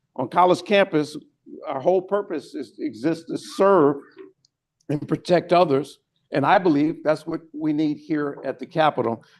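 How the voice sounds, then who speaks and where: The clip presents a normal speaking voice with ordinary pitch variation, moving at a moderate rate. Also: man, fairly high pitch for a man. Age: 60s. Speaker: interim police chief. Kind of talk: briefing to legislators. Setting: state house lounge, lunch meeting.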